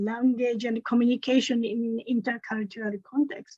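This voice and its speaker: Spoken at a fairly slow pace with a Japanese accent, the clip has a quiet background and a dry, close sound with no echo. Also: woman. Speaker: lecturer in Japanese language. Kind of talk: online conference roundtable.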